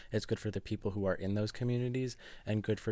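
This man's voice sits at a fairly low pitch with a dark, mellow tone and fairly even intonation. The recording is very clean, with a silent background. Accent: American. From US, New Jersey. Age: young. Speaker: novelist. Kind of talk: interview. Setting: bookshop.

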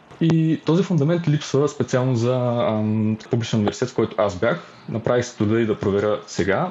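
A man's normal speaking voice at medium pitch, lively in intonation, at a fairly quick pace. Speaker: university student and youth activist. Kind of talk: podcast interview.

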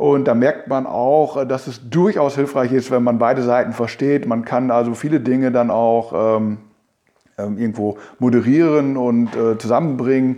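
A man speaks with a dark, mellow tone at a medium pitch. His pace is fairly slow, and his intonation is fairly even. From Münsterland, Germany (Telgte). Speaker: local politician, mayoral candidate. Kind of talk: interview. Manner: hesitant, many fillers.

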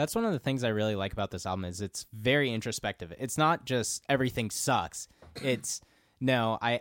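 In a very clean recording with a silent background and a dry, close sound with no echo, a man uses an ordinary speaking voice at medium pitch, moderate pace and lively intonation. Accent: American. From Minnesota. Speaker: podcast guest. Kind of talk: casual chat.

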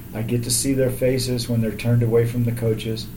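Monotone, flat male speech with an American accent at a moderate pace, amid noticeable background noise and audible room echo. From Texas, south of Houston. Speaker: athletic trainer. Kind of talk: casual interview.

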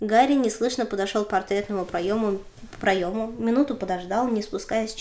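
Pitch rises and falls in an ordinary way as a passage is read aloud in a natural voice.

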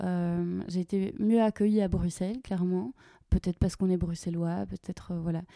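On a very clean recording with a silent background and a dry, close sound with no echo, a woman speaks at a fairly quick pace in a dark, mellow tone at a medium pitch, with fairly even intonation. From Belgium, Walloon Brabant. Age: 30s. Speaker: nonprofit agency co-director. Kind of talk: podcast interview.

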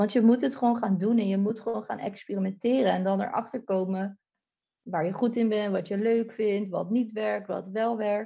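This woman has a plain, everyday voice at a medium pitch. She keeps a moderate pace and fairly even intonation. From Netherlands, Delft. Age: 30s. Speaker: online entrepreneur. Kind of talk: podcast interview.

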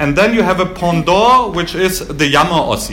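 Over noticeable background noise, a man with a German accent talks at a moderate pace in a high pitch with ordinary pitch variation. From Germany, Baden-Württemberg. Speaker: historian giving a talk. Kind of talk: lecture. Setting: stage with audience.

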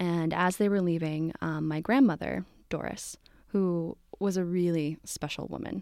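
A woman's fairly low voice, with ordinary pitch variation, comes through on a very clean recording against a silent background. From New Jersey (Morristown). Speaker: birth worker. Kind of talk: personal storytelling interview.

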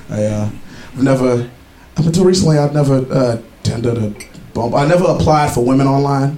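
Through noticeable background noise, a man talks at a fairly quick pace and medium pitch with ordinary pitch variation. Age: 20s. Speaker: comedian. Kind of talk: stand-up. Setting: stage with audience at a pub.

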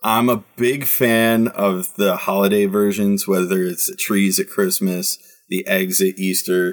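A man with a fairly low pitch talks at a fairly slow pace with fairly even intonation. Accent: Midwestern US. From Michigan, Detroit. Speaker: soccer podcast host. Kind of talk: casual chat.

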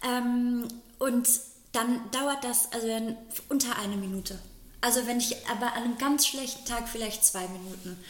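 The delivery has a moderate pace, fairly even intonation, and long, frequent pauses. Background noise is noticeable and room echo audible. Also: woman, high pitch for a woman. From rural Germany. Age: 30s. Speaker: podcast co-host. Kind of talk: casual chat.

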